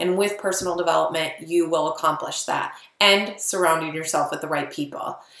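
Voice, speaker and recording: Pitched fairly low, a woman talks at a fairly quick pace with fairly even intonation. Noticeable background noise and audible room echo are present. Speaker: network marketing coach. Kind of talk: tutorial. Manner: fast; casual.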